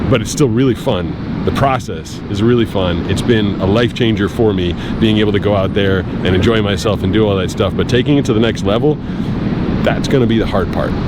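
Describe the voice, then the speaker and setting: Speech at a fairly quick pace with hardly any pauses and ordinary pitch variation, set against noticeable background noise. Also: man, fairly low pitch for a man. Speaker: voice actor, blind surfer. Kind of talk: casual talk to camera, vlog narration.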